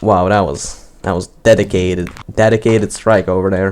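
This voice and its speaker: A man speaks with noticeable background noise present. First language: not English. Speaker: gaming youtuber. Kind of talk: live gaming commentary. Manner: stuttering, repeats words; casual, unscripted.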